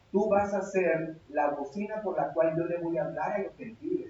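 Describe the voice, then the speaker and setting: A man's high-pitched voice with ordinary pitch variation, plus audible room echo. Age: 60s. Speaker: pastor. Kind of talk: sermon.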